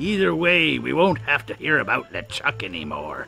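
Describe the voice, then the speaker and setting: Faint music plays behind a man using a put-on character voice, raspy and medium in pitch, delivered at a moderate pace. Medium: video game. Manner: sarcastic.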